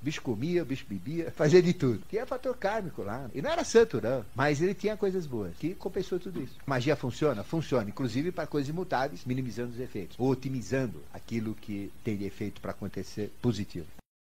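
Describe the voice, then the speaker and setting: A man talks at a very fast clip, barely pausing, his medium-pitched voice dark, mellow and somewhat breathy. His pitch swings very widely, and the room echo is audible. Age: 70s. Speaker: esoteric teacher. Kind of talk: lecture. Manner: conversational, rhetorical questions.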